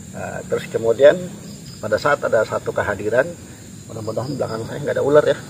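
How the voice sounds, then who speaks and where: A man speaks over noticeable background noise. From Jakarta, Betawi. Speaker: paranormal explorer, video host. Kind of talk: casual spiritual talk to camera. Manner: hesitant, many fillers.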